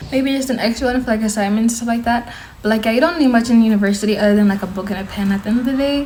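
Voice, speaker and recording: A woman's animated, very fast voice with an American accent, fairly high in pitch with ordinary pitch variation, amid noticeable background noise and audible room echo. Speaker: university student and vlogger. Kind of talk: casual vlog advice.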